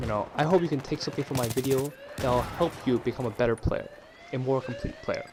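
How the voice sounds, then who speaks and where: A man talks at a medium pitch, his pitch varying in an ordinary way, with noticeable background noise present. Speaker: gamer. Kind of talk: gameplay tutorial voice-over. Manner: casual, conversational.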